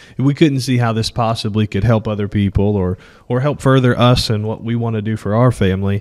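Using a normal speaking voice, a man talks at a fairly quick pace and medium pitch with fairly even intonation. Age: 30s. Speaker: podcast co-host, real estate agent. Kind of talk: casual chat.

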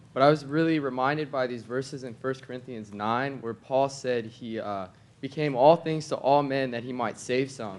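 A man with a plain, everyday voice at medium pitch, fairly even intonation, a moderate pace and big swings in loudness. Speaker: church member. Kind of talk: testimony. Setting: church meeting with audience.

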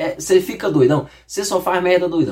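A man's tone is animated as he talks at a moderate speed. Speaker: YouTuber. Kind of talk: reading aloud with casual commentary.

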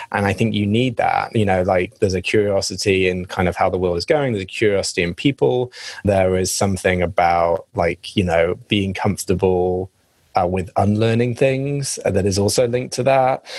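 Speaking with an English accent, a man uses a fairly low pitch and ordinary pitch variation. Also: moderate pace, very clean recording, silent background. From England. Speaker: marketing executive. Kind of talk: casual interview chat.

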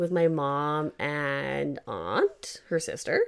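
The recording is very clean, its background silent. The voice is a woman's. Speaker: podcast co-host. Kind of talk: casual chat.

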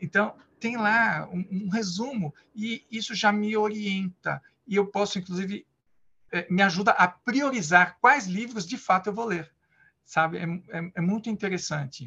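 A man's raised, projected voice, high in pitch with a bright, sharp tone, ordinary pitch variation and a fairly slow pace. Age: 50s. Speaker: Scrum Master. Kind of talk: interview. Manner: halting.

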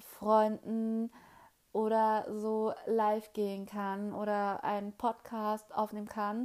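The speaker talks very slowly in a flat monotone over a silent background, captured in a very clean recording. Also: woman. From Hesse, Germany. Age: 20s. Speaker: podcaster. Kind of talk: solo podcast introduction, casual. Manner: hesitant, many filler sounds.

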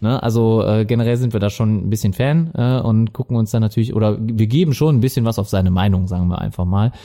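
A man with a dark, mellow tone talks at a very fast pace with hardly any pauses. His loudness stays very even, with ordinary pitch variation. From Lower Rhine, Germany (Viersen). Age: 30s. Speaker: podcast co-host. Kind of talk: casual chat.

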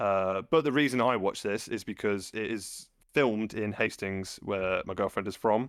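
A man with an East Midlands accent, fairly low in pitch with ordinary variation, in a dry, close sound without echo and a very clean recording over silence. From England, Loughborough. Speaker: film podcast co-host. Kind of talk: casual chat.

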